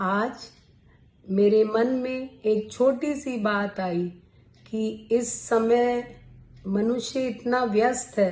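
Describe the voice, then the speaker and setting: Her voice is somewhat breathy and fairly high-pitched for a woman. The pitch moves in an ordinary way. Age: 60s. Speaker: YouTuber, poet. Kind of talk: talk to camera, health advice. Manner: formal.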